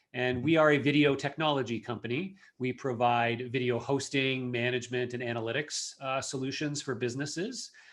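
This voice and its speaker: With a Canadian accent and an ordinary speaking voice, a man at medium pitch talks at a fairly quick pace with hardly any pauses. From Canada, Toronto area. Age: 40s. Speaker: marketing executive. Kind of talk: podcast interview.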